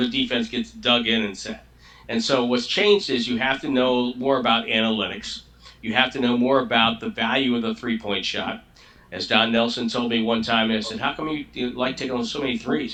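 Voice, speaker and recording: Through noticeable background noise, a man speaks at medium pitch and a moderate pace with fairly even intonation. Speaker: longtime radio play-by-play announcer for a pro basketball team. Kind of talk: interview answer.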